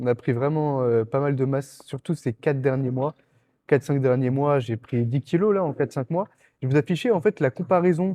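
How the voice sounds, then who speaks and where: A man's fairly high voice at a moderate pace, ordinary pitch variation, dry and close with no echo. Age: 20s. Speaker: bodybuilding competitor and vlogger. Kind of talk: casual gym vlog. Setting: gym. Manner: casual, hesitant with fillers.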